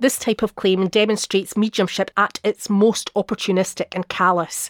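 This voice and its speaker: In a dry, close sound with no echo, a woman with an unremarkable speaking voice talks at a medium pitch and a moderate pace. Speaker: author narrating visits to medium events. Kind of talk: scripted narration, reading aloud a travelogue.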